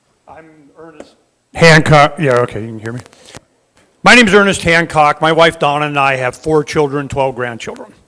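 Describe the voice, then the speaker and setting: With a bright, sharp tone, a man speaks at a moderate pace with lively intonation. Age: 60s. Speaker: panelist, liberty activist. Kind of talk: conference panel talk. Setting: conference stage with audience.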